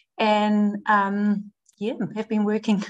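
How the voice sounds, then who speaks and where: A woman's fairly high-pitched voice comes through with a Dutch accent. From Netherlands. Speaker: performance nutritionist. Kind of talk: podcast interview. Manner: hesitant, many fillers.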